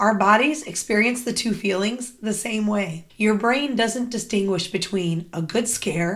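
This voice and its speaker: A woman speaks at a fairly high pitch and moderate pace, somewhat breathy. Her pitch varies in an ordinary way on a very clean recording with a silent background. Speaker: mindset coach. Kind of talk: scripted tips video.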